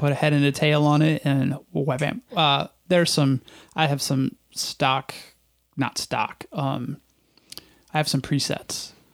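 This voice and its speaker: A man with a normal speaking voice, fairly high pitch and ordinary pitch variation, at a fairly slow pace with very even loudness, in a dry, close sound with no echo. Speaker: podcast host. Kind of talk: casual interview. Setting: studio.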